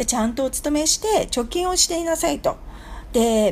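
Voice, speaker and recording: A woman with lively intonation talks at a moderate pace as noticeable background noise carries on. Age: 50s. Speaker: business consultant. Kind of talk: radio lecture.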